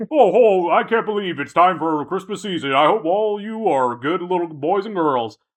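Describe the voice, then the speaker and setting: Putting on a character voice, a man talks at a moderate pace and high pitch with hardly any pauses. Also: lively intonation. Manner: jolly.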